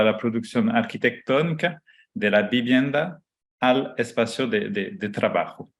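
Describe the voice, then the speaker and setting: Here a man speaks at a medium pitch. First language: not Spanish (speaking Spanish). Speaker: architecture professor and researcher. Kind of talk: lecture. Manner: halting, many fillers.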